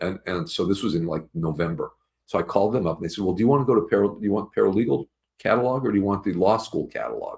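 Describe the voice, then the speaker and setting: Speaking at a very fast pace, the man has a fairly low, somewhat breathy voice. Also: ordinary pitch variation. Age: 70s. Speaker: attorney. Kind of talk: casual talk to camera.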